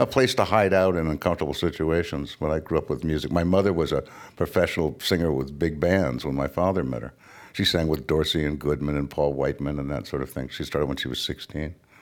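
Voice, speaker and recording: A man talks very fast in a very deep, low voice with vocal fry. His pitch varies in an ordinary way. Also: very clean recording, silent background. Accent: Californian. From California. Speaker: author. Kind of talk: interview conversation.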